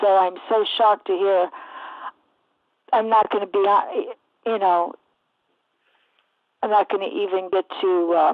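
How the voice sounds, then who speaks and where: Pausing long and often, a woman with a medium pitch talks at a fairly slow pace with fairly even intonation. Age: 60s. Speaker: caller. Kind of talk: phone-in question.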